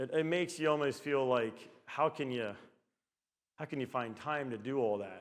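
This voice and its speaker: Pitched in the medium range, a man's speech moves at a moderate pace and shows ordinary pitch variation. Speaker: business owner and conference speaker. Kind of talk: conference talk. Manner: halting.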